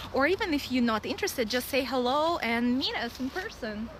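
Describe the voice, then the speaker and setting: Over noticeable background noise, a woman uses a raised, projected voice with a high pitch at a fairly quick pace. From Russia. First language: Russian. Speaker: vlogger. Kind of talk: casual vlog. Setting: outdoors, dog park. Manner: halting, many fillers.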